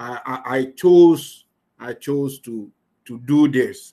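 In a quiet background, a man with a dark, mellow tone and a fairly high pitch speaks at a very slow pace with ordinary pitch variation. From Ghana. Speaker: online business coach. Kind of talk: live online class. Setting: video call. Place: home room. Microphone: webcam.

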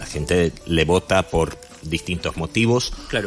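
Over faint music in the background, a man speaks with a very deep, low pitch and ordinary pitch variation. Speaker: radio guest. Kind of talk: interview answer. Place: studio. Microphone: studio mic.

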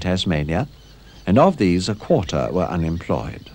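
A man speaks with vocal fry. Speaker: documentary narrator. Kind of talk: 1970s documentary narration, scripted, measured and authoritative.

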